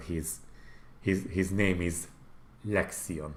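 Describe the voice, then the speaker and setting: A man's very deep, low voice with a Hungarian accent and ordinary pitch variation. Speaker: gaming YouTuber. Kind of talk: livestream commentary. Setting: livestream. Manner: casual, halting.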